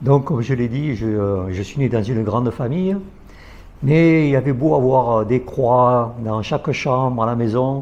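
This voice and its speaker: Delivered fairly slowly, the speech shows the usual amount of pitch movement. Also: man, medium pitch for a man. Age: 60s. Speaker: guest sharing faith story. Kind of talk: testimony.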